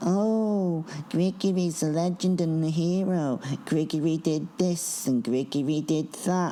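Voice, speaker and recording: A whiny, put-on character voice at middle pitch moves at a fairly slow pace over clear background noise. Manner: mocking, sarcastic.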